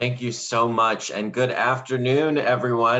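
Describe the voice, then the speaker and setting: A man's bright, sharp tone at a moderate pace, with an American accent. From North Carolina. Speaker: sociology professor. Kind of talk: conference talk. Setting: video call.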